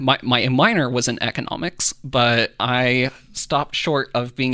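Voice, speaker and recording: In a US Midwestern accent, a man speaks at a fairly slow pace with a bright, sharp tone and monotone, flat intonation. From Kansas (Iola). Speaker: political reporter and podcast co-host. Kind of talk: casual chat and news explainer.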